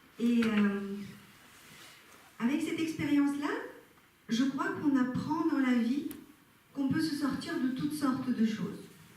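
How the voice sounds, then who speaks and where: A woman speaks at a high pitch and a fairly slow pace, with very even loudness and long, frequent pauses. Audible room echo and noticeable background noise fill the recording. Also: ordinary pitch variation. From Bulgaria. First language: Bulgarian (speaking French). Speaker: personal development speaker. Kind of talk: talk to a live audience. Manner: hesitant, many filler sounds.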